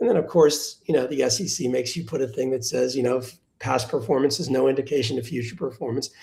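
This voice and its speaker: A man speaks at a very fast pace with hardly any pauses, at a medium pitch. His tone is dark and mellow, with vocal fry. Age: 60s. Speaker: venture capital investor. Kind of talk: live webinar panel conversation. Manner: conversational with frequent restarts and fillers.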